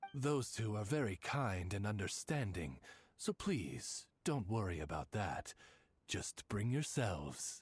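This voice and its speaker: Here a man uses a put-on character voice. His pitch is fairly low and his pace fairly slow. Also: very clean recording, silent background. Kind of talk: formal butler-like address. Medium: video game. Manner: polite, measured, courtly.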